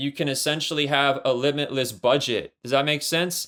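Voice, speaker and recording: Using an ordinary speaking voice, a man with an American accent talks at a moderate pace with fairly even intonation. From Imperial Valley, California (Mexicali border area). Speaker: comic book writer. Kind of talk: casual interview.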